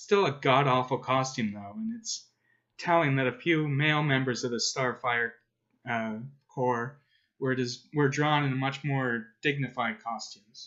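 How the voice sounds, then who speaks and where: An unremarkable speaking voice from a man, fairly high in pitch with ordinary variation, at a moderate pace. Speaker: comics commentator. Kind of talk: video essay narration.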